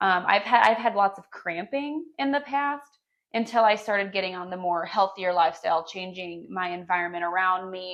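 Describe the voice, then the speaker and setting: A woman talks at a moderate pace with a medium pitch and ordinary pitch variation. Her loudness swings widely. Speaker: podcast co-host and small business owner. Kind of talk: casual chat.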